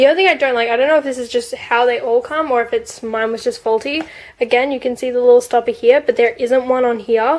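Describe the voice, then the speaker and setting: Speaking at a very fast pace, a woman with an Australian accent keeps a fairly even intonation. Her pitch is high. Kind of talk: casual product review to camera.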